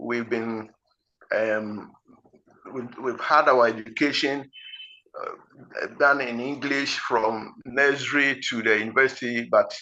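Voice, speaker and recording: A man with a Ghanaian accent speaks at a very slow pace with fairly even intonation. He leaves long, frequent pauses. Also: medium pitch for a man. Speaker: IELTS teacher. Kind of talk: lecture. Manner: slow, deliberate; halting.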